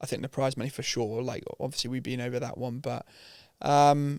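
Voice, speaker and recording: The speech has a monotone, flat intonation and comes with a British accent. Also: man. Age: 30s. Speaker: mountain bike business founder. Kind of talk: casual chat.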